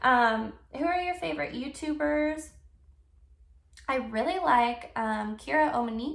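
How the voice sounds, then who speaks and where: A high-pitched woman's voice with very wide pitch swings, a fairly slow pace and long, frequent pauses, in audible room echo. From US South, Texas (El Paso area); born in Germany. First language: German. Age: 20s. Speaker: YouTuber. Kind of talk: casual Q&A vlog. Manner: casual, many fillers.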